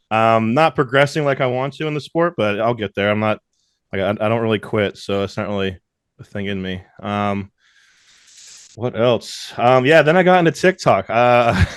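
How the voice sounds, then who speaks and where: This man has an American accent and lively intonation. The sound is dry and close, with no echo. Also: medium pitch for a man, moderate pace. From Louisiana (Bossier City/Shreveport). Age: 20s. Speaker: strongman competitor and social media personality. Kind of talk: casual podcast interview.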